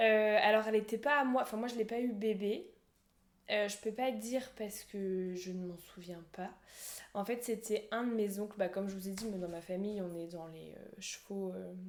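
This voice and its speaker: At a moderate pace, a woman talks at a medium pitch with fairly even intonation and big swings in loudness. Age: 20s. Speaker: horse rider sharing her story. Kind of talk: podcast interview. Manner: halting, many fillers.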